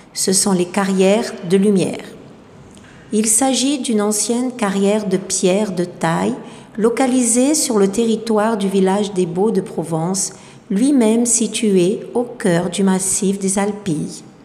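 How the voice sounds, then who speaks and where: Very slowly and at a very even loudness, a woman speaks in a medium pitch with ordinary pitch variation, with audible room echo and noticeable background noise. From southern France, Marseille. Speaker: French teacher. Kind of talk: scripted narration.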